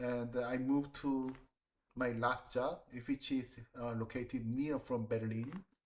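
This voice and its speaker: A man speaks at a fairly slow pace in a flat monotone. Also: medium pitch for a man. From South Korea, Seoul. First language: Korean. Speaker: designer and planner. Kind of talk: job interview. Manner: halting.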